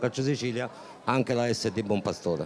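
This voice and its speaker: Light background noise accompanies a man speaking at a fairly quick pace. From Sicily. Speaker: youth football technical director. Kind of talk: interview. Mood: proud, hopeful. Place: stadium. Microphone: handheld.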